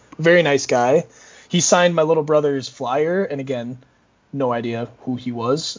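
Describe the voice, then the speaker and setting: With an American accent, a man has a plain, everyday voice, a fairly high pitch with ordinary variation, and a moderate pace. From Minnesota. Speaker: esports marketing coordinator. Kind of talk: casual chat.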